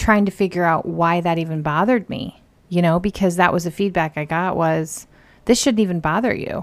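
In a very clean recording with a silent background, a woman with an ordinary speaking voice talks at a moderate pace and a fairly low pitch. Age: 40s. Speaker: host's sister. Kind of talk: casual chat.

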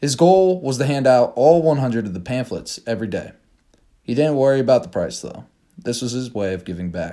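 The intonation here is lively. It comes from an unremarkable speaking voice at a moderate pace. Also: man, medium pitch for a man. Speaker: podcast narrator. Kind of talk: scripted narration; dramatic short story reading. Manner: measured storyteller pacing, suspenseful build.

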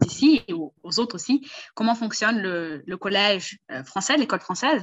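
Speaking fairly quickly, a woman uses an ordinary speaking voice. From Brazil. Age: 20s. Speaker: language tutor. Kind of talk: casual chat.

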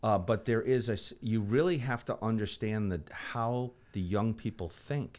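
A man at a medium pitch and moderate pace, with ordinary pitch variation, in a very clean recording with a silent background. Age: 50s. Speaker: water utility executive. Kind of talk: casual interview. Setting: studio. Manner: halting.

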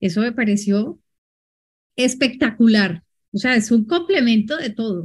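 A somewhat breathy woman with a fairly high pitch speaks at a fairly slow pace. Her intonation is lively, broken by long, frequent pauses. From Colombia. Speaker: moderator, IT executive. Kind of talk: moderating a webinar.

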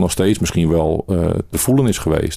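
A man talks at a moderate pace in a very deep, low pitch. His tone is dark and mellow. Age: 40s. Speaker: interviewee sharing mental health experience. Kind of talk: personal testimony interview. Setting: in-person interview.

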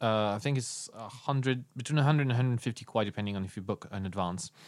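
A man speaks with a French accent at medium pitch and ordinary pitch variation. The recording is very clean, with a silent background. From France. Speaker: podcast host. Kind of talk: casual chat. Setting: studio.

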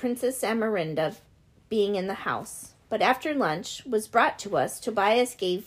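Pitch rises and falls in an ordinary way. The delivery is an unforced reading voice.

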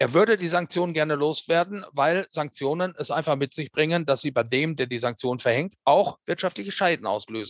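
A man speaks in a plain, everyday voice at a moderate pace, fairly high in pitch with lively intonation. The sound is dry and close with no echo, over a quiet background. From Germany, Ruhr area (Hamm). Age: 50s. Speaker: radio correspondent. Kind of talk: interview. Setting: remote call.

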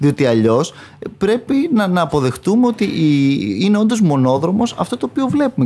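His pitch swinging very widely, a man with a dark, mellow tone speaks at a moderate pace. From northern Greece, Chalkidiki. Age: 30s. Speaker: parliamentary candidate, lawyer. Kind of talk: political interview. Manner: halting, with many repetitions.

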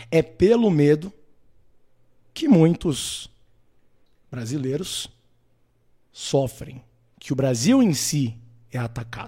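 With a dark, mellow tone and a fairly high pitch, a man talks with lively intonation. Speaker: political commentator, live streamer. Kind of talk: live stream monologue.

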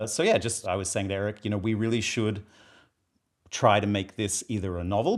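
Speaking at a fairly quick pace with an Australian accent, a man with a fairly low pitch is heard on a very clean recording over a silent background. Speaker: screenwriter and filmmaker.

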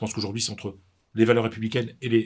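This man's voice is somewhat breathy, with a fairly low pitch. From northern France, Pas-de-Calais. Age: 50s. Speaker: sports journalist and author. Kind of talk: interview. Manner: halting, many repetitions.

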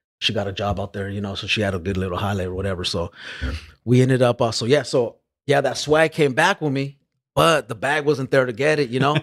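A very fast, lively-intoned man at a medium pitch, dry and close with no echo, on a very clean recording with a silent background. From Los Angeles area, California. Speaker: rapper. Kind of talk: casual chat.

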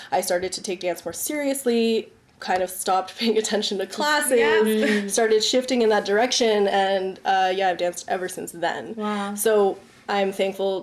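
A woman with a Canadian accent talks in an ordinary speaking voice. Her pitch is medium with ordinary variation, and her pace is moderate. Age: 30s. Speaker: dancer and artist. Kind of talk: casual chat.

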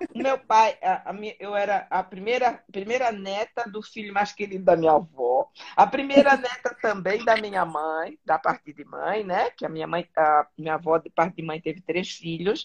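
A woman's plain, everyday voice at medium pitch, lively in intonation, moderate in pace with hardly any pauses, and big swings in loudness. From southern Brazil, Florianópolis. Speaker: interview guest. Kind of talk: casual interview.

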